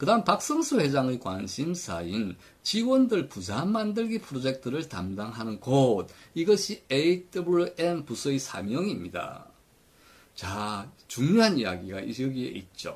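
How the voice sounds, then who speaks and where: The pitch swings very widely while the pace stays fairly slow. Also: man, fairly high pitch for a man. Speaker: retirement pension commentator. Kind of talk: commentary lecture.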